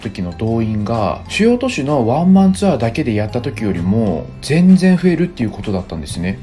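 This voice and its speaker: Music plays in the background as a man speaks at medium pitch with very wide pitch swings. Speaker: former visual-kei band musician. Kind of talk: casual talk to camera. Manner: somewhat fast-talking, natural speaking style.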